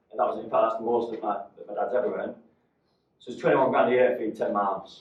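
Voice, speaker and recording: A man is speaking. He has a Mancunian accent. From northern England, Salford, Manchester. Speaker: motivational speaker, business owner. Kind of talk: talk to a live audience.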